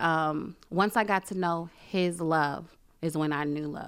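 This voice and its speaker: With a New York accent, this speaker talks at a fairly slow pace with fairly even intonation, captured on a very clean recording against total silence. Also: woman. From Brooklyn, New York. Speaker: church member and mother. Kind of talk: testimony.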